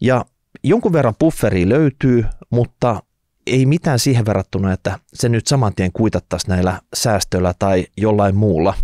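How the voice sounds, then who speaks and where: With a normal speaking voice, a man of fairly low pitch talks at a fairly slow pace with lively intonation, the sound dry with no echo against a quiet background. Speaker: podcast host. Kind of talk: reading a listener letter, then commentary. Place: studio. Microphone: studio mic.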